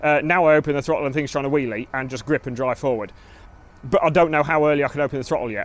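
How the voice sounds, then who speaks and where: Speaking at a very fast pace, a man with an English accent has a fairly high pitch. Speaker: motorcycle racer and vlogger. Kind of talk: casual vlog commentary. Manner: animated.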